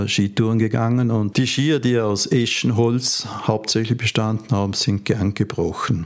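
The man's intonation stays fairly even at a moderate pace, with noticeable noise in the background. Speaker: ski museum founder. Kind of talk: interview. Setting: museum.

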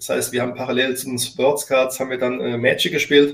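Fairly even in intonation, this man speaks at a medium pitch. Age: 40s. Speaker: company founder and CEO. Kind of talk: interview. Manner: halting.

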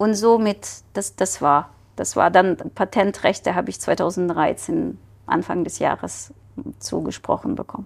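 With vocal fry, a woman talks at a fairly slow pace and medium pitch with ordinary pitch variation, on a very clean recording with a silent background. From Ukraine. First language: Ukrainian or Russian (speaking German). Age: 40s. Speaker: scientist and entrepreneur. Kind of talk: casual interview. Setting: studio.

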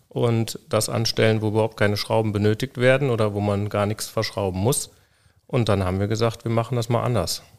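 On a very clean recording with a silent background, a man speaks fairly quickly in a fairly low pitch. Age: 40s. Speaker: co-founder of a children's wheelchair company. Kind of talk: interview. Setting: on location in company workshop. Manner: halting with many fillers.

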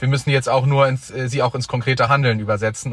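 The man's delivery is very fast, with fairly even intonation at a medium pitch. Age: 20s. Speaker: young member of parliament. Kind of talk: debate.

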